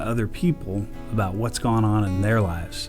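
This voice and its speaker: A man with a Texan accent talks at a moderate pace in a fairly low voice, with music in the background. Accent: Texan Southern. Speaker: church podcast host. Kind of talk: interview host talk.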